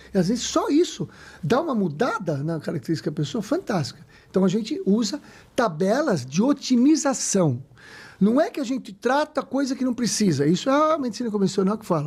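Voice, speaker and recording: With an animated tone, a man speaks at a fairly quick pace in a high pitch, his voice making very wide pitch swings. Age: 60s. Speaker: medical doctor. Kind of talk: casual chat.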